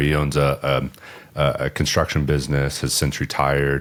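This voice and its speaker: This man speaks at a moderate pace with an American accent. His pitch is very deep and low. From Southern California. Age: 30s. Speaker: business owner. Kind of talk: podcast interview. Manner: casual, hesitant with fillers.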